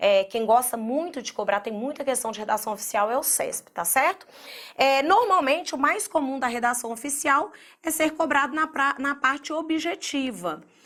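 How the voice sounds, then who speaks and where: At a moderate pace, a woman talks with lively intonation and a high pitch. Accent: Minas Gerais. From Minas Gerais, Brazil. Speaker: teacher. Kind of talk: lecture. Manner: conversational, direct address to students.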